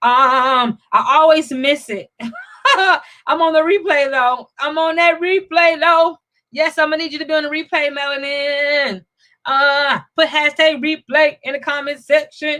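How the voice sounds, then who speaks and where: Speaking at a fairly slow pace, a woman raises and projects her high-pitched voice in a bright, sharp tone. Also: ordinary pitch variation. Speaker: financial coach and live show host. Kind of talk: casual live stream chat. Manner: hesitant, with fillers and restarts.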